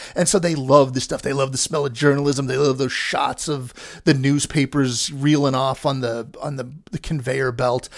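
This man has an unremarkable speaking voice, fairly high in pitch, with fairly even intonation. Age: 50s. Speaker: film podcaster and critic. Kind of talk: casual monologue. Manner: rambling, frequent fillers.

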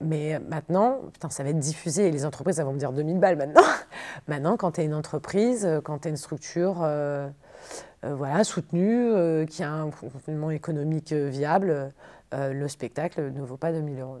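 Recorded very cleanly against silence, a woman speaks fairly quickly in a very deep, low voice with a dark, mellow tone, ordinary pitch variation and big swings in loudness. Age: 30s. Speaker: improv performer and producer. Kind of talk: interview.

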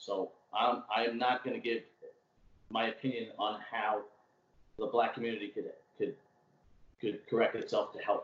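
A man with a strong Brooklyn accent talks at a moderate pace, leaving long, frequent pauses. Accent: strong old school Brooklyn. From Brooklyn, New York. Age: 40s. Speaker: city worker and podcaster. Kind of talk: casual chat. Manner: talkative.

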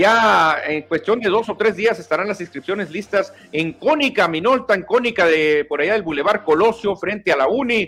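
A man talks in an animated tone and a high voice with lively intonation, at a moderate pace with hardly any pauses. Noticeable background noise is present. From Mexico. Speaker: sports radio host. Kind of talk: casual sports talk show.

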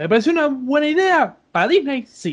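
A man speaks with a Rioplatense accent. His pace is fairly slow. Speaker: psychology student, guest. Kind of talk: casual chat. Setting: Skype call.

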